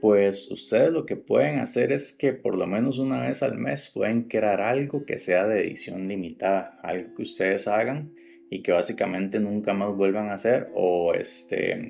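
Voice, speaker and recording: A man talks at a fairly slow pace. He leaves hardly any pauses. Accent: Costa Rican. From Costa Rica. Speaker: woodworking podcast host. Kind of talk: podcast tutorial. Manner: casual, with fillers.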